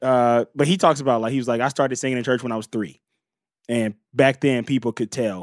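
The recording is very clean, with a silent background and a dry, close sound with no echo. A man with a medium pitch speaks in an animated tone. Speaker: comedian. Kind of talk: casual chat.

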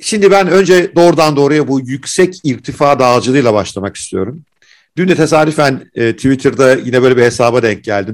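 The man has an unremarkable speaking voice with a medium pitch. He speaks at a moderate pace with lively intonation. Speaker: podcast host. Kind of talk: interview.

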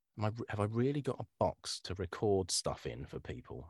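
Speaking with a southern English accent, a man uses lively intonation at a fairly low pitch, somewhat breathy and at a moderate pace, on a very clean recording with a silent background. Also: dry, close sound with no echo. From Kent, southern England. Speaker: voiceover artist. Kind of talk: casual chat. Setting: home studio.

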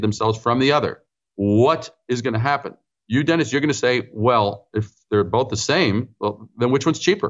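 A man speaks in a New York accent with lively intonation. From New York City (Brooklyn, Queens). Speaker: branding consultant and author. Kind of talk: interview.

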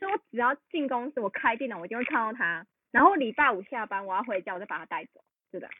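Speaking very fast in a fairly high voice, a woman shows very wide pitch swings and big swings in loudness. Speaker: podcast co-host. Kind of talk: casual chat.

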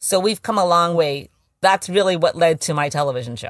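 A woman speaks with an American accent and an unremarkable speaking voice. Her pitch is fairly low, and her intonation is lively. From US West Coast, San Francisco. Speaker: actor and filmmaker. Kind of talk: interview.

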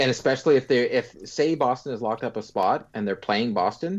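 Over a quiet background, a man with a normal speaking voice talks at a medium pitch and a fairly quick pace, his intonation lively. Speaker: hockey podcast co-host. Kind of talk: casual chat.

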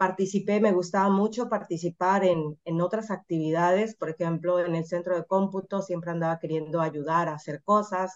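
An unremarkable speaking voice, a woman's, fairly low in pitch, with fairly even intonation at a moderate pace. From Mexico, Mazatlán, Sinaloa. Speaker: computer science professor and researcher. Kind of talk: interview.

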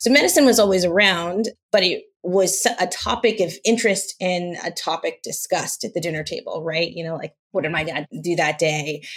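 Speaking with an American accent, a woman has a plain, everyday voice at medium pitch. She moves at a fairly quick pace with ordinary pitch variation. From Los Angeles, US. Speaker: venture capital partner. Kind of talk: interview.

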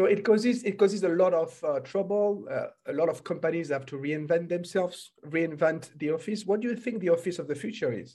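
A man speaks with a French accent at a high pitch. His pace is fairly quick and his pitch variation ordinary. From France. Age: 40s. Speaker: podcast host and entrepreneurship coach. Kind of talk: interview.

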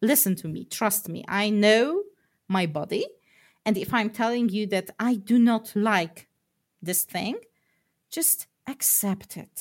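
The voice is somewhat breathy, moving at a very slow pace with ordinary pitch variation. Long pauses come often. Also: woman, fairly high pitch for a woman. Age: 30s. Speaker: programmer. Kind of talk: interview.

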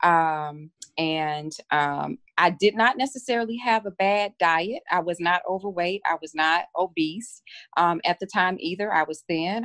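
Speaking at a fairly slow pace in a Southern US accent, a woman with a fairly low pitch and ordinary pitch variation comes through dry and close with no echo over a quiet background. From Mississippi. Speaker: physician. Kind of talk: interview.

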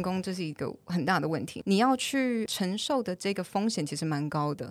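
Very clean recording, silent background, and a woman speaking at a fairly quick pace. She has medium pitch and an ordinary speaking voice. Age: 20s. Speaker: English teacher. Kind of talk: casual chat.

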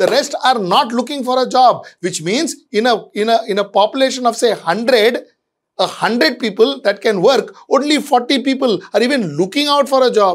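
Speaking with an Indian accent, a man with an extremely high pitch talks at a moderate pace with ordinary pitch variation. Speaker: managing editor and commentator. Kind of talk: video editorial commentary.

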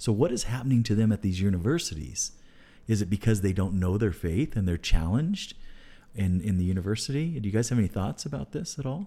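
A man speaks at a very fast pace with lively intonation. His voice is fairly low in pitch, with a dark, mellow tone. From California. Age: 50s. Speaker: deacon and podcast host. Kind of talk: casual chat.

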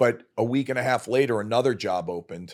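A man with a New York accent at a moderate pace, in a very clean recording with a silent background. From New York, Brooklyn. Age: 50s. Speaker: podcast guest, father of the host, former finance worker. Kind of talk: casual chat. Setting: studio.

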